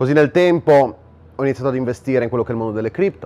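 His pitch shows ordinary variation. A man delivers his words at a very fast pace. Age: 20s. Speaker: online entrepreneur and influencer; influencer. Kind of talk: direct-to-camera monologue. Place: home room.

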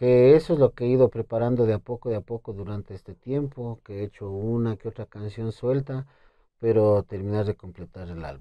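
A man talks at a moderate pace. The sound is dry with no echo, and the background is quiet. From Ecuador, Imbabura (Urcuquí); Imbabura. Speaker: requinto guitarist and composer; guest. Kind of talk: interview. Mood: relaxed, friendly. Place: studio. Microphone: lapel.

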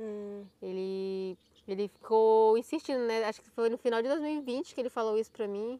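A woman speaks in a dry sound with no echo. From northern Brazil (Amazonas). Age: 20s. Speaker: YouTuber. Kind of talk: casual chat. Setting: outdoors. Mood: relaxed, reflective. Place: waterside. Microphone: lapel.

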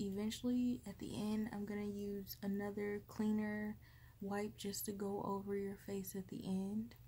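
A woman's somewhat breathy voice with a dark, mellow tone, over light background noise. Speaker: caring roleplay host. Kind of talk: soft-spoken roleplay chat. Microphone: phone near.

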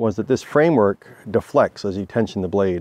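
A man speaks at a moderate pace in a fairly low pitch, his tone dark and mellow. The sound is dry with no echo, over light background noise. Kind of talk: casual explanatory tour. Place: open country. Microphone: phone near.

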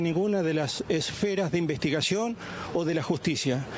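This man speaks at a high pitch and a fairly quick pace, with ordinary pitch variation. The sound is dry with no echo, over light background noise. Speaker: grandfather of alleged abuse victim. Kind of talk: news interview answer. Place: street. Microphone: handheld.

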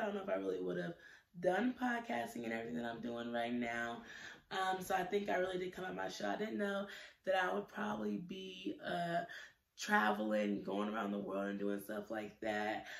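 A woman speaks with a fairly low pitch and very wide pitch swings. Room echo is audible. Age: 20s. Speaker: YouTuber, student; YouTuber. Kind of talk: casual vlog monologue. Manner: hesitant, many fillers. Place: home room. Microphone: phone near.

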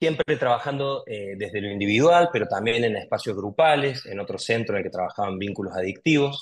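A man with a Rioplatense accent at a medium pitch, lively intonation, a fairly quick pace and hardly any pauses over a quiet background. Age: 30s. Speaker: psychologist; guest. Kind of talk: interview, explanatory. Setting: video call. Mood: calm, thoughtful. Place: home room. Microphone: video call.

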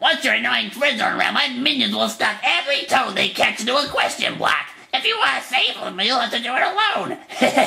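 A put-on character voice delivered at a fairly quick pace. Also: female-sounding voice, high pitch for a woman. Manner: menacing, boastful.

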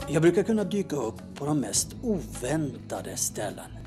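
A man at a moderate pace, music in the background. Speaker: storyteller, actor, presenter. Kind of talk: showreel narration about own work.

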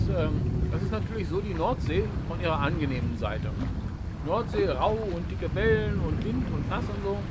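Loud background noise surrounds the recording. A man speaks at a moderate pace. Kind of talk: casual vlog chat. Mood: relaxed and content. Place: boat. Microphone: camera far.

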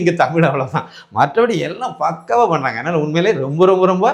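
High pitch from a male speaker, with ordinary movement in tone. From Kanyakumari district, Tamil Nadu. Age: 50s. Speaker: amputee sharing prosthetic limb experience. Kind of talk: testimonial. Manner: conversational, halting.

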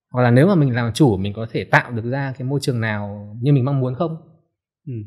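Against a quiet background, a man speaks. His pitch is medium, with ordinary pitch variation. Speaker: book editor; podcast guest. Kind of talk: casual chat. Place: studio. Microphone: studio mic.

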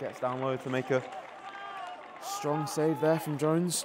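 A man speaks in an animated tone. Noticeable background noise runs under his voice. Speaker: football commentator. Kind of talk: live match commentary over highlights. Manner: fast, urgent play-by-play delivery; animated, rising excitement on chances and saves.

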